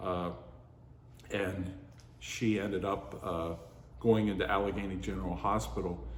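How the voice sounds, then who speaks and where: In an American accent, a man with a very deep, low pitch speaks at a moderate pace with lively intonation and long, frequent pauses, in a room with audible echo. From western Pennsylvania, Pittsburgh area. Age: 60s. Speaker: oral history narrator. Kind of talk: oral history interview. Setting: heritage center museum. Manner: hesitant, many fillers.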